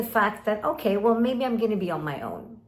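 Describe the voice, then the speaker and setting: A woman speaks at a fairly high pitch. Audible room echo surrounds her voice. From Sweden and Kuwait (American school). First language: Swedish. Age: 50s. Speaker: life coach. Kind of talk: direct-to-camera talk.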